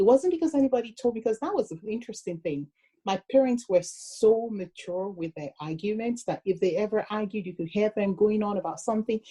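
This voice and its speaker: A woman's fairly high, somewhat breathy voice with a dark, mellow tone, big swings in loudness, lively intonation and a fairly quick pace with hardly any pauses, in a dry, close sound with no echo. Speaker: relationship podcast co-host. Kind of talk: casual chat. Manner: excitable, animated.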